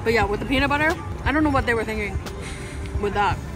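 A woman is speaking with clear music in the background. The sound is dry with no echo. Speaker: food vlogger. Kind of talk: casual vlog food review. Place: street. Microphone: phone near.

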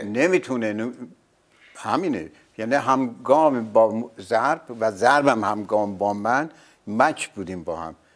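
Very slow and full of lively intonation, this man's speech swings widely in loudness. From Iran. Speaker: veteran actor, singer, dubbing artist and announcer. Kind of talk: interview answer. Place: studio. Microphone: lapel.

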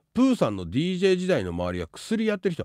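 This is a man talking against a quiet background. His voice sounds dry, without any echo. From Tokyo, Japan. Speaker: live streamer and advice giver; live streamer. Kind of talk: casual livestream chat. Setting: live stream with chat. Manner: rapid run-on speech. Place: home room. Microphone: studio mic.

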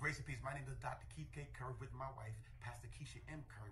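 Over noticeable background noise, the talking runs at a very fast pace. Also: man. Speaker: senior pastor. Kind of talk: church announcement. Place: office. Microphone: phone near.

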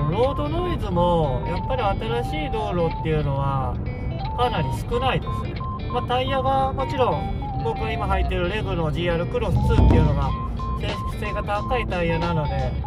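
Loud music plays behind a man as he talks. The sound is dry, with no echo. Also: moderate pace. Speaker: car vlogger. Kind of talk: casual talk to camera while driving. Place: car. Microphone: phone near.

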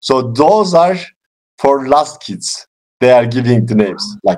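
In a quiet background, a man with a Turkish accent speaks fairly slowly at a fairly high pitch, with very wide pitch swings and long, frequent pauses. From Turkey. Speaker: English learner and YouTuber. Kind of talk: casual chat. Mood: cheerful, laughing. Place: home room. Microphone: video call.

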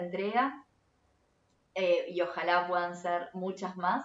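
Speaking in a Rioplatense accent, a woman keeps her intonation fairly even. Her pace is very slow, with audible room echo. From Argentina, Buenos Aires. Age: 30s. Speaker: photography teacher. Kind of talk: tutorial. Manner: hesitant, frequent fillers. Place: home room.

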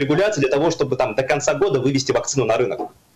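Music plays in the background. A man is speaking. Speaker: political scientist. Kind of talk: political talk show discussion. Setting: remote video link. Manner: hesitant, many filler words.

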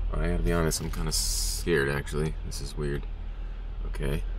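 In a dry recording with no echo and light background noise, a man with a very deep, low voice speaks at a moderate pace. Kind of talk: casual vlog chat. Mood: nervous, uneasy. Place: car. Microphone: phone near.

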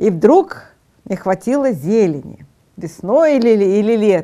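Her tone is dark and mellow, and her pitch is fairly high for a woman. She speaks with lively intonation against a quiet background. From Odesa, Ukraine; Ukraine. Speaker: TV talk show host. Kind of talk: TV panel discussion. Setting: studio. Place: studio. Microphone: lapel.

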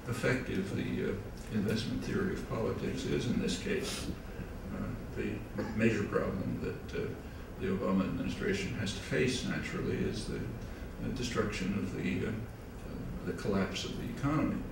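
Moderate pace with long, frequent pauses from a man, amid audible room echo and noticeable background noise. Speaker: guest lecturer. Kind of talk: lecture. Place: hall.

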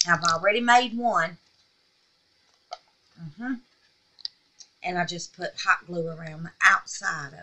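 A woman speaks at a fairly slow pace with ordinary pitch variation. Her tone is bright and sharp, broken by long, frequent pauses. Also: fairly low pitch for a woman.

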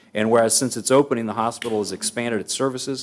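Fairly even intonation carries this man's voice. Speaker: council meeting presiding official. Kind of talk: formal proclamation reading. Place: hall. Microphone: podium.

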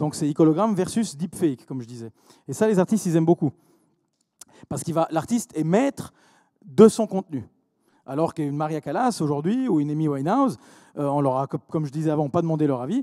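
Against a quiet background, a man with a fairly high pitch and a dark, mellow tone talks at a very fast pace, broken by long, frequent pauses. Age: 40s. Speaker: entrepreneur; speaker. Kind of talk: conference talk. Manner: halting, many repetitions. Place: hall. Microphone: handheld.

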